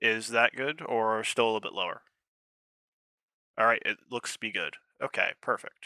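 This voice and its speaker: A soft-spoken man talks at a moderate pace. He leaves long, frequent pauses. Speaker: esports caster. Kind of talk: casual chat. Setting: voice call on Discord.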